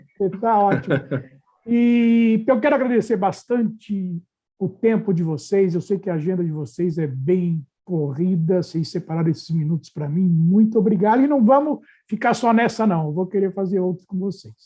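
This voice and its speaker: His intonation is lively and his pitch high. The man keeps to a moderate pace. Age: 60s. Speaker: podcast host. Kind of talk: casual chat.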